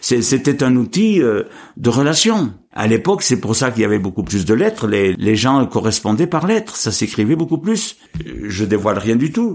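A man at a fairly slow pace, with very wide pitch swings and very even loudness. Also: medium pitch for a man. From France, Cantal. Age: 70s. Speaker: retired farmer. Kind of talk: casual interview. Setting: at his home. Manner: halting.

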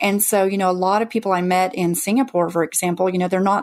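At a very fast pace, a woman speaks at a medium pitch with fairly even intonation. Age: 40s. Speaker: FIRE retreat founder, former teacher. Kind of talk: interview.

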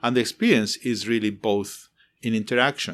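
With a Spanish accent, a man speaks at a moderate pace. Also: very clean recording, silent background. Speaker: architecture professor. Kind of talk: interview. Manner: passionate, emotional.

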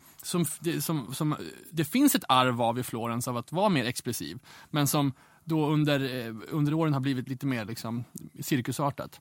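This man, with an Umeå accent, speaks at a fairly high pitch with ordinary pitch variation. The recording is very clean with a silent background. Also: moderate pace. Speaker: fashion magazine editor. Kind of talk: casual interview chat.

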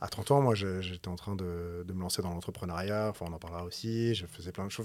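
A man talks very fast in a very deep, low voice with ordinary pitch variation. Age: 40s. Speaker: musician, entrepreneur and novelist. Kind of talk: casual conversation.

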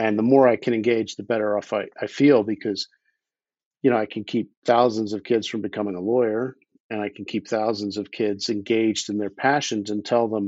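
This man has a plain, everyday voice with an American accent and medium pitch. He speaks at a fairly quick pace with fairly even intonation. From US Northeast (Philadelphia). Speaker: underwater explorer and attorney. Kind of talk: casual interview.

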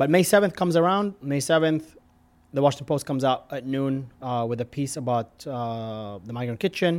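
On a very clean recording with a silent background, a man with an American accent talks at a fairly quick pace. He has an ordinary speaking voice, fairly high for a man, with ordinary pitch variation. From Middle East (Jordan, Lebanon, Tunisia). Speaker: restaurant founder and entrepreneur. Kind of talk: interview.

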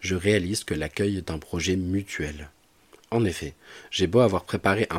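The recording is very clean, with a silent background. This man's very deep, low voice moves at a moderate pace with fairly even intonation. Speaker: podcast host. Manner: formal, polished, carefully phrased.

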